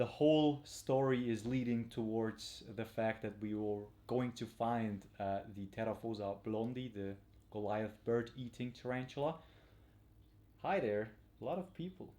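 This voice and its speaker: With a non-native accent, a man of medium pitch talks at a fairly slow pace with ordinary pitch variation. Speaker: tarantula hobbyist and field trip presenter. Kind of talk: live stream presentation. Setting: home at night, live stream. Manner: quiet, not too loud; halting with many fillers.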